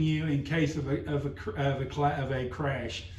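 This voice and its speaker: Audible room echo surrounds the recording. The speaker is a man. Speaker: driver safety trainer. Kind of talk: workplace safety meeting presentation. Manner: halting, many fillers; talking loud.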